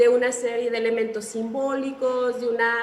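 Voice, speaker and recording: A woman's high voice at a fairly slow pace, with noticeable background noise. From Mexico. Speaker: author being interviewed. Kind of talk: literary interview answer.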